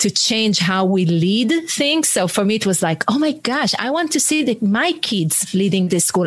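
Over noticeable background noise, a woman with an Israeli accent talks at a fairly high pitch, her voice making very wide pitch swings. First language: Hebrew. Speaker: author and leadership coach, former military. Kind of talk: interview conversation. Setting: video call.

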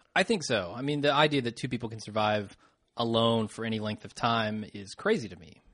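Against a quiet background, a man in a normal speaking voice talks at a medium pitch and a fairly quick pace, with big swings in loudness. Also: ordinary pitch variation. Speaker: podcast host. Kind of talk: casual chat.

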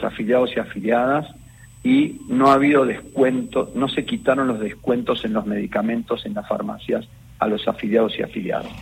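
Here a man with an unremarkable speaking voice talks at a moderate pace with ordinary pitch variation. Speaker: health insurance fund president. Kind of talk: radio interview.

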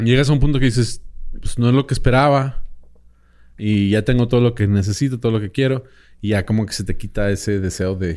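On a very clean recording with a silent background, a man has an ordinary speaking voice of medium pitch with ordinary pitch variation. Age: 30s. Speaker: boxing expert and podcaster. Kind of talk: casual chat.

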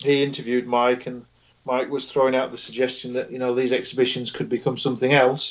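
Someone with a British accent speaks very fast in a monotone, flat intonation. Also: man, medium pitch for a man. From England. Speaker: boxing writer. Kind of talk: casual chat.

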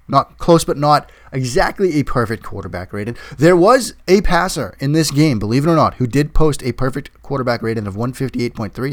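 Fairly quick pacing marks this man's delivery. He has an unremarkable speaking voice, pitched fairly high. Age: 40s. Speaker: NFL podcast host and football analyst. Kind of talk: solo sports podcast monologue.

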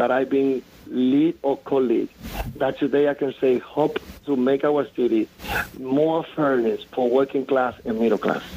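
The speaker has a strong Dominican accent, talking at a fairly slow pace with fairly even intonation. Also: man. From Dominican Republic. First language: Spanish. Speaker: city politician. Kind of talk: radio interview. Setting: phone call.

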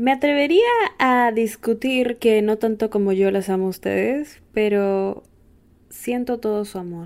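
A woman's fairly high voice moves at a fairly slow pace, its pitch varying in an ordinary way. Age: 20s. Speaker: podcast host. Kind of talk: casual monologue.

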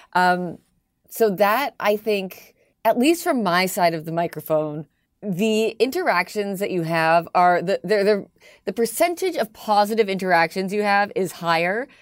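A speaker with a slight Canadian accent talks at a fairly slow pace. The recording is very clean, with a silent background. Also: woman, medium pitch for a woman, ordinary pitch variation. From Toronto, Canada. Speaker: radio host. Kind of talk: casual interview chat.

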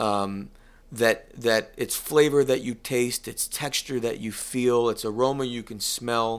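Speaking with an American accent in a normal speaking voice, a man keeps a fairly slow pace, medium pitch and fairly even intonation in a very clean recording with a silent background. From US Northeast, northeast Connecticut. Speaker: cigar company executive and musician. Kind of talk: interview. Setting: office.

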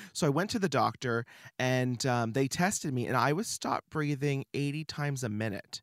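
At a moderate pace, a man with a medium pitch and ordinary pitch variation speaks in an energetic, animated tone. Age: 30s. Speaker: creative studio owner and artist. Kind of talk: casual interview chat. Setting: studio.

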